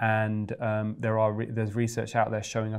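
A man talks at a moderate pace in a fairly low pitch. The background is quiet. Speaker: guest. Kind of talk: interview answer. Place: studio. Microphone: lapel.

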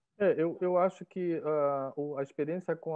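This man talks at a moderate pace in a normal speaking voice, with ordinary pitch variation. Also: quiet background. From Belém, Pará, northern Brazil; Pará, Brazil. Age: 50s. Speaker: art professor and curator; art professor. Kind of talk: interview. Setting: video call. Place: home room. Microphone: earbuds.

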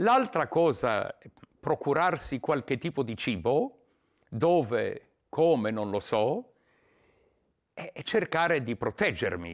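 A man's fairly high voice with vocal fry, very wide pitch swings and a very slow pace, over a quiet background. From Poland. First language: Polish (speaking Italian). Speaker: war refugee. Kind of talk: testimony; interview answer. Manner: halting. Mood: emotional wartime childhood memories. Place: home room. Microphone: lapel.

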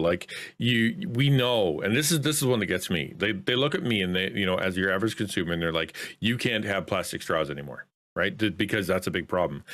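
Speaking at a very fast pace, a man uses lively intonation. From Canada. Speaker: content creator. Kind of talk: casual chat. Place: home room. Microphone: studio mic.

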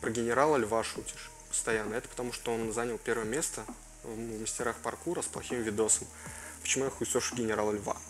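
Light background noise sits under a man who talks at a very fast pace. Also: ordinary pitch variation. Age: 20s. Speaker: gaming YouTuber. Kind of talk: Q&A video, casual chat to viewers.

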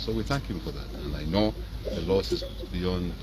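A man talks at a moderate pace in a very deep, low voice. Background noise is noticeable. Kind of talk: press statement on a death, tribute. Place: garden. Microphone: handheld.

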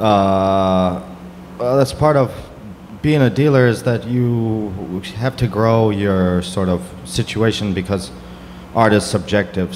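A man's ordinary speaking voice, fairly low in pitch with ordinary pitch variation, at a fairly slow pace over light background noise. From US South. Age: 30s. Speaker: gallerist; panelist. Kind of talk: panel discussion. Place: hall. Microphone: handheld.

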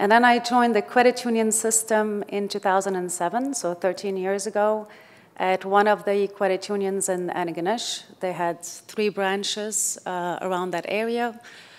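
Using fairly even intonation, a woman talks at a fairly slow pace. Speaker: HR executive. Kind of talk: panel discussion. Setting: stage with audience. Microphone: podium.

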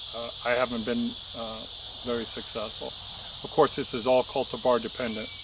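A man is speaking with a dry sound and no echo. Loud noise runs in the background. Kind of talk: casual explanatory tutorial. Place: garden.

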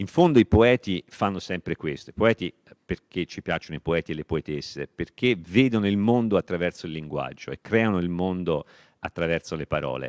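A man with a very deep, low pitch and lively intonation at a fairly quick pace, in a dry sound with no echo and a quiet background. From Tuscany, Italy. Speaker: literature professor. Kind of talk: lecture. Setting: library event with audience, streamed. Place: hall. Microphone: handheld.

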